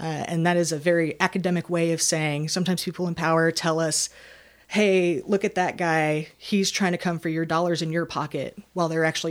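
Speaking fairly quickly with an American accent, a woman has a fairly low pitch and a normal speaking voice. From New York, then Charleston South Carolina. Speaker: city council candidate. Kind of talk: casual interview about policy.

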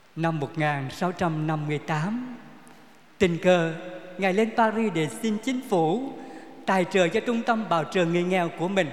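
Over noticeable background noise and audible room echo, the speech moves at a very slow pace with ordinary pitch variation. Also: man, high pitch for a man. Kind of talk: sermon. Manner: formal.

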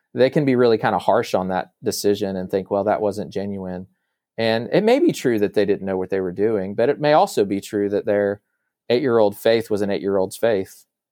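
A man with an ordinary speaking voice, fairly low pitch and ordinary pitch variation, at a fairly quick pace. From Northern Virginia, later Arkansas. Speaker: campus minister. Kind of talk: interview conversation.

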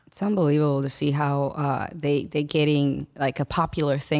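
A woman with a Spanish accent, very deep and low in pitch, at a moderate pace. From Dominican Republic. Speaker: podcast guest, former pageant contestant. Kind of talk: casual chat.

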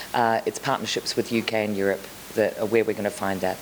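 The speaker has an Australian accent. Noticeable background noise runs behind the voice. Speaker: children's TV programming executive. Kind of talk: conference panel discussion.

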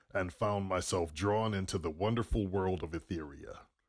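Very deep and low, a man's voice moves at a moderate pace. The recording is very clean with a silent background. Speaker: listener reading reviews. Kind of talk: reading aloud.

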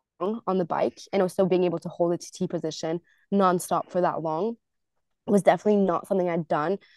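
With a slight American accent, a woman talks fairly quickly at a fairly low pitch and fairly even intonation, recorded dry and close with no echo. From grew up moving abroad, largely China. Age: 20s. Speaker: triathlete. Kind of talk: casual interview.

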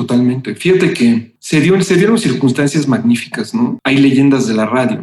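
In an unremarkable speaking voice, a man talks at a moderate pace and medium pitch with lively intonation. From Mexico City. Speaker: music and marketing executive. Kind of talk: interview.

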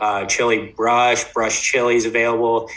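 A man with an American accent speaks at a medium pitch in a bright, sharp tone. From Virginia Beach, US. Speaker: entrepreneur, toothpaste brand founder. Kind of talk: casual interview.

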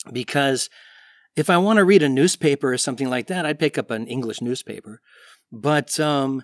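With an American accent, the speaker goes at a moderate pace on a very clean recording with a silent background. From California, US. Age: 50s. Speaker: voice actor. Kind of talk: casual chat.

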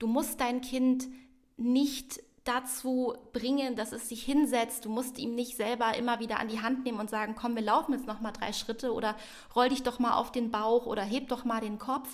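Speech moves along at a moderate pace. Intonation stays flat and monotone throughout. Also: woman, high pitch for a woman. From Hamburg, northern Germany. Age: 30s. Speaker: parenting podcast co-host. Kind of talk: casual chat. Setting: at a kitchen table.

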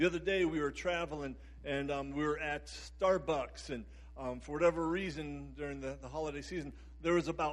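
A man with a Philadelphia accent at a fairly quick pace. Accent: Philadelphia American English. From US Northeast, Philadelphia area. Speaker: pastor. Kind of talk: sermon. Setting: church service with live audience.

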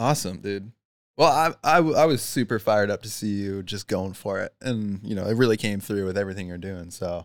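In a very clean recording with a silent background and a dry, close sound with no echo, a man with a plain, everyday voice speaks at a fairly quick pace. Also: fairly low pitch for a man, ordinary pitch variation. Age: 30s. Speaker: podcast host. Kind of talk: casual chat.

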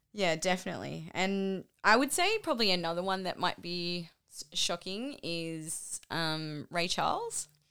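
A woman with an Australian accent speaks at a fairly slow pace, her fairly low voice bright and sharp in tone with ordinary pitch variation. The recording is very clean, with a silent background. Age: 30s. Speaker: metal band lead singer. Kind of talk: casual interview chat.

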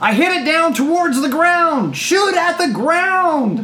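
At a fairly slow pace, the speaker uses a put-on character voice of extremely high pitch, with faint music in the background. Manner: mimicking another character's voice; urgent, shouting.

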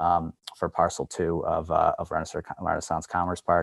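This man talks at a moderate pace with a Western New York accent. His sound is dry and close, with no echo. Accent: Western New York (Inland North) American. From Buffalo, New York. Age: 40s. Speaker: commercial real estate executive. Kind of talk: interview. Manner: halting, many fillers and restarts.

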